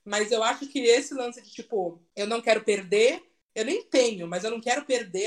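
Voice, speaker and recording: A woman with a high-pitched voice talks while music plays in the background. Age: 30s. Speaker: content creator, designer. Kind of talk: casual chat.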